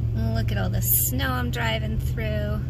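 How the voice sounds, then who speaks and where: Loud background noise fills this fairly slow speech, which has a dry sound with no echo. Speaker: vlogger. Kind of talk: casual vlog chat. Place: car. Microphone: phone near.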